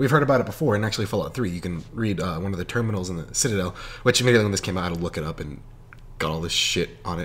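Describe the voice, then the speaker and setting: A man talks at a very fast pace. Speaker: gaming youtuber. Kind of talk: unscripted casual commentary. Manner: rambling, halting with stumbles; animated.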